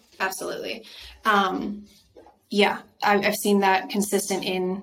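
A woman speaks with an American accent and monotone, flat intonation. Noticeable background noise runs behind her. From Idaho, US. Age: 30s. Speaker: actress. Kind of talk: casual interview chat.

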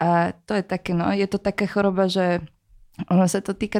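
A woman with a Slovak accent speaks at a fairly slow pace in a dry, close sound with no echo. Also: very clean recording, silent background. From Slovakia, Bratislava. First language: Slovak (speaking Czech). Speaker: rapper. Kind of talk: casual chat.

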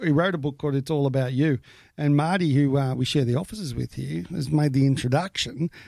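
A man with an Australian accent, fairly high pitch, ordinary pitch variation and a dark, mellow tone, at a fairly quick pace, in a very clean recording with a silent background and a dry, close sound with no echo. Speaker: podcast host. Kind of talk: casual chat.

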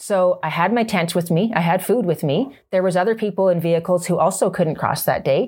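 At medium pitch and a fairly quick pace, a woman with a Canadian accent sounds somewhat breathy, with hardly any pauses, very even loudness, and a very clean recording with a silent background. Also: ordinary pitch variation. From Canada. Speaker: motorcycle trainer. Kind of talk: casual chat. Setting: on location in Canmore.

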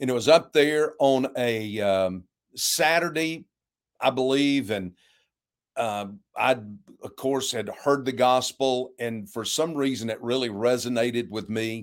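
A man talks at a fairly slow pace in a plain, everyday voice of medium pitch, with ordinary pitch variation. The recording is very clean, with a silent background. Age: 60s. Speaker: pastor. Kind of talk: interview conversation.

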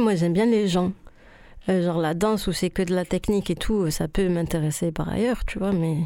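A woman's medium-pitched voice, dark and mellow, at a fairly quick pace with fairly even intonation and very even loudness, on a very clean recording with a silent background. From southern France (Rodez, Toulouse). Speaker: choreographer. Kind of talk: radio interview.

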